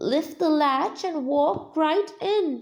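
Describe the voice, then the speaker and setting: A woman uses a put-on character voice, croaky in sound. Her pitch is high. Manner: croaky, disguised.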